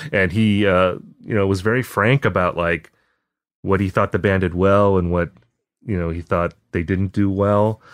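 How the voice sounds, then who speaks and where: In a dry, close sound with no echo and a quiet background, a man with an American accent uses an ordinary speaking voice, fairly low in pitch, with fairly even intonation at a moderate pace. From Wisconsin, Appleton. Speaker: music writer. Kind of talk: casual chat. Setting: remote call.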